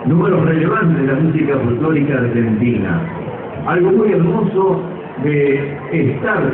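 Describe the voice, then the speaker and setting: A man with a fairly high pitch talks at a fairly slow pace with lively intonation. Audible room echo and noticeable background noise surround his voice. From Argentina, Córdoba. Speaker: veteran radio announcer. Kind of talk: public speech at a festival homage. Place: stage.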